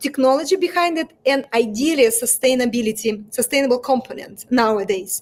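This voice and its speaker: Speaking at a moderate pace, a woman has a Russian accent. Her pitch is high, with ordinary pitch variation. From Russia, Moscow. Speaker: fashion brand founder. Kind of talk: interview. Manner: halting.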